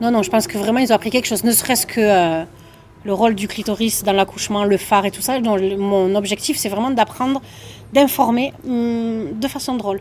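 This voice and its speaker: Speaking at a fairly quick pace in a southern French accent, a woman uses a fairly high pitch with ordinary pitch variation. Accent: southern French (Toulouse). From southern France, Toulouse. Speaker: comedian. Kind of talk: interview.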